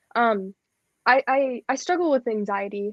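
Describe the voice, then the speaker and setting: This woman has a high-pitched voice and an American accent. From US Midwest (Cleveland, Ohio). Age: young (19). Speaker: singer-songwriter. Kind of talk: casual interview. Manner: halting.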